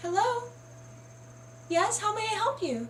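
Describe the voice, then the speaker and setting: A put-on, squeaky character voice that sounds female, pitched extremely high for a woman. It moves at a moderate pace over clear background noise. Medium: read story.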